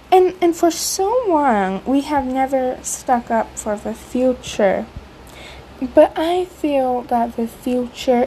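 Against noticeable background noise, a woman with a high pitch and an American accent speaks at a very slow pace. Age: young. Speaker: podcaster and YouTuber. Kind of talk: solo commentary podcast. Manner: hesitant, with many fillers and repetitions.

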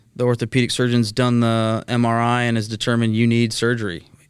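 In a Texan accent, a man rattles off words at a very fast pace, his medium-pitched delivery monotone and flat, on a very clean recording with a silent background. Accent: Texan American. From Texas, Dallas area (Mesquite). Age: 30s. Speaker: healthcare cost containment executive. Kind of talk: podcast interview.

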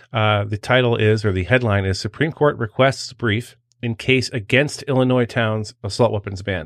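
Speaking at a moderate pace with an American accent, a man has an ordinary speaking voice, fairly low in pitch, with ordinary pitch variation. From Washington DC area. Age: 50s. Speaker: podcast host, former federal agent. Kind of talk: casual interview chat.

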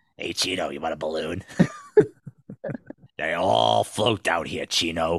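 Putting on a character voice, a man speaks raspy and very deep at a fairly slow pace, with long, frequent pauses. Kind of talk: gangster tough talk. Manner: menacing, teasing.

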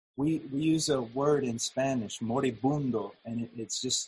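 A man speaks at a very slow pace in a medium pitch. His voice is somewhat breathy, with fairly even intonation. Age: 50s. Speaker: preacher. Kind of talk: sermon. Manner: halting.

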